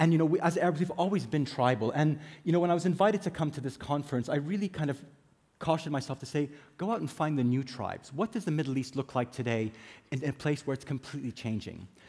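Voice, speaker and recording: Somewhat breathy and fairly high-pitched, a man talks at a very fast pace with ordinary pitch variation. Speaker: conference speaker, business executive. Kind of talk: conference talk. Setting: stage with audience.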